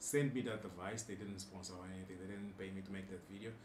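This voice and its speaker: Very fast, flat, monotone speech from a man with a fairly low pitch, in audible room echo. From Angola. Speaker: tech YouTuber. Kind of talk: live stream chat. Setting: home studio. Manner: casual, conversational.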